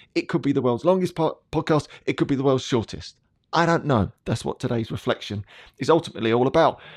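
In an English accent, a man talks at a very fast pace with fairly high pitch and ordinary pitch variation, the sound dry and close with no echo against a quiet background. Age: 40s. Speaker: podcast host and coach. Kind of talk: personal reflection monologue.

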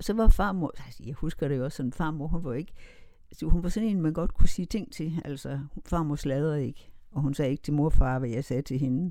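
The tone is dark and mellow, with ordinary pitch variation. Loudness swings a great deal. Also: woman, very deep, low pitch for a woman. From Denmark, Kolding-Vejle area, rural Jutland. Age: 70s. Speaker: interviewee telling life story. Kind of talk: life story interview. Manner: hesitant, many fillers.

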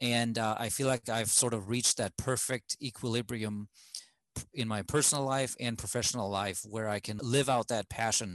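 Someone with a German accent speaks at a moderate pace with ordinary pitch variation. The sound is dry and close with no echo, over a quiet background. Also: man. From Germany. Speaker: communications specialist, immigrant.

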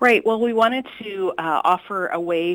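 In an unremarkable speaking voice, a woman talks at a moderate pace with ordinary pitch variation. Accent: Canadian. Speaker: archivist. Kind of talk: radio interview.

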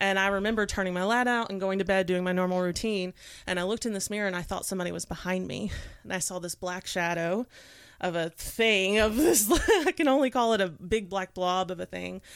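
A woman with an East Tennessee accent talks at a fairly quick pace, medium in pitch with ordinary pitch variation. The recording is very clean, with a silent background. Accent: Southern US (East Tennessee). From East Tennessee (Knoxville). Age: 30s. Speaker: astrologer and makeup artist. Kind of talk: casual chat.

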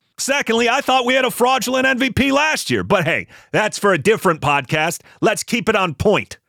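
A high-pitched man with an American accent, his bright, sharp, animated voice raised and projected, very wide pitch swings, very even loudness, a fairly quick pace with hardly any pauses, and a dry, close sound with no echo in a very clean recording with a silent background. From Buffalo, New York. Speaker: podcast host and radio broadcaster. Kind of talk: angry rant, sarcastic and scathing, dissecting a clip. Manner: animated, sarcastic, exasperated.

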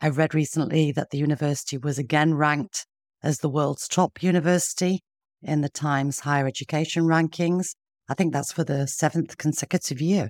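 A woman speaks fairly quickly in a Yorkshire accent, her pitch very deep and low. Her intonation stays fairly even. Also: dry, close sound with no echo. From northern England. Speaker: podcast host. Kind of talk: interview conversation.

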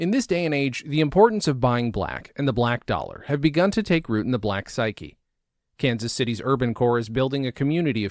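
The voice is an ordinary speaking voice with lively intonation. It moves at a fairly quick pace. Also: man. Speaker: reader of magazine story. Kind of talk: reading aloud.

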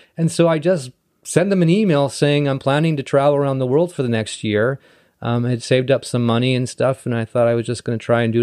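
Over a quiet background, a man at medium pitch talks at a very fast pace with ordinary pitch variation. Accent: Western Canadian. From Canada, North Vancouver. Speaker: city councillor. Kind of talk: casual interview. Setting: in person.

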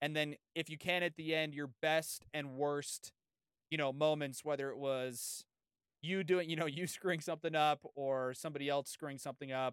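A man with an American accent and monotone, flat intonation, in a very clean recording with a silent background and a dry, close sound with no echo. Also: fairly high pitch for a man, moderate pace. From San Diego, California. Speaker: sports podcast host. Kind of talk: casual interview chat.

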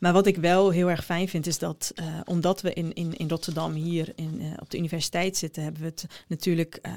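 Fairly low in pitch, a woman speaks quickly with hardly any pauses. Her intonation is monotone and flat. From Netherlands, Groningen. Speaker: education researcher and lecturer. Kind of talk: interview. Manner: hesitant with many fillers.

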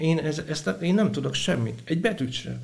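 There is audible echo from the room. A man talks through it at a moderate speed. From Hungary, Vas county. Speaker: prison chaplain. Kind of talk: interview testimony.

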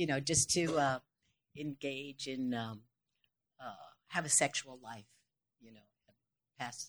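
A woman with a very deep, low voice talks at a fairly slow pace with fairly even intonation, long, frequent pauses and big swings in loudness, the sound dry and close with no echo. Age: 70s. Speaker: stage actress and dancer. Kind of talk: live panel interview. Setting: live event with audience.

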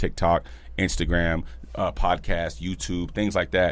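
A man talks at a fairly quick clip with very wide pitch swings. His voice carries vocal fry. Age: 30s. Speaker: podcast host and barber. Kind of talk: casual chat. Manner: animated.

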